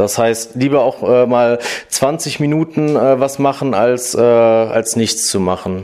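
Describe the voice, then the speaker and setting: At a very slow pace, a man talks with very even loudness and a medium pitch. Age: 30s. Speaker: office worker in human resources. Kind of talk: interview. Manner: hesitant with many fillers.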